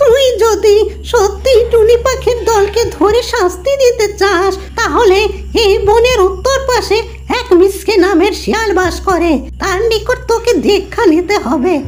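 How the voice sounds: A squeaky, cartoonish character voice from a woman at an extremely high pitch, fairly slow in pace, with clear background noise.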